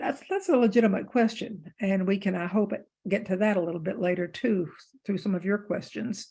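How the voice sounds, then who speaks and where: A woman's medium-pitched, somewhat breathy voice carries a dark, mellow tone and ordinary pitch variation. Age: 70s. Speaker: author and theologian. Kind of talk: book group discussion talk. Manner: halting, many fillers.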